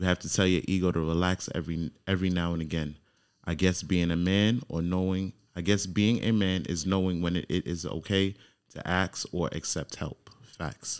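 In an American accent, a man speaks with a very deep, low pitch and fairly even intonation. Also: moderate pace, very clean recording, silent background. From New York. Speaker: podcast host. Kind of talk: casual interview chat.

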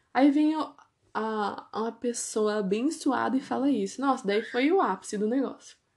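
A woman's speech comes at a moderate pace with ordinary pitch variation, captured on a very clean recording against a silent background. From Brazil, Ourinhos, São Paulo state. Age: 20s. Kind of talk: testimony. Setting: at home. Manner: casual, conversational.

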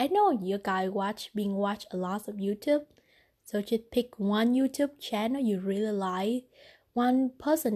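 Against a quiet background, a woman talks at a fairly slow pace with a fairly high pitch, a dark, mellow tone and ordinary pitch variation. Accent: non-native. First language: not English. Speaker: podcaster. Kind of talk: casual monologue.

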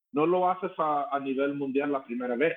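The speech keeps a moderate speed, and its pitch shifts in an ordinary way. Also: man. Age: 50s. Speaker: rock singer. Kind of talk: casual chat. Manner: halting.

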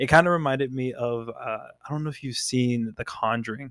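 Fairly even intonation and a fairly quick pace mark an unremarkable speaking voice on a very clean recording with a silent background. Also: man. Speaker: podcast co-host. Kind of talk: casual chat, banter. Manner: jokey, relaxed.

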